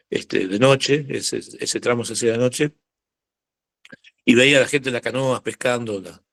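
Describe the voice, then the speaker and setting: A man's medium-pitched voice at a moderate pace, with big swings in loudness, long and frequent pauses, and fairly even intonation. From Argentina, Buenos Aires. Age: 60s. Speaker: biologist. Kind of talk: talk. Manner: halting, many fillers.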